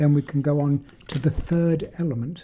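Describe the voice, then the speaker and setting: A man's somewhat breathy voice, fairly high in pitch, dark and mellow in tone, at a fairly slow pace. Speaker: magic prop maker. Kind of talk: tutorial. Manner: halting.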